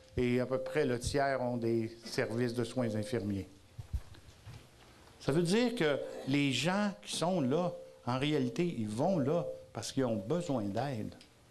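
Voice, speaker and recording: A very slow pace with lively intonation, long, frequent pauses and audible room echo. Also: man, medium pitch for a man. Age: 60s. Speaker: advocacy group president. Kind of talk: conference talk. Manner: loud.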